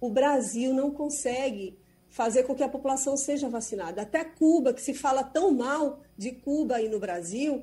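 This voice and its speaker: On a very clean recording with a silent background, a woman speaks with a high pitch and a dark, mellow tone. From Brazil. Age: 40s. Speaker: foreign correspondent. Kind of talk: radio news commentary.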